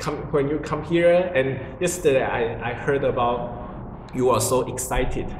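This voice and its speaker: A man speaks with a Chinese accent and ordinary pitch variation. Audible room echo and noticeable background noise fill the recording. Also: medium pitch for a man, moderate pace. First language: Mandarin Chinese. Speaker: religious group member explaining teachings. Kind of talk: casual spiritual conversation. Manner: halting, with many fillers.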